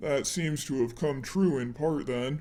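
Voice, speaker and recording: At a fairly slow tempo, a man uses a put-on character voice pitched fairly high. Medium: read story.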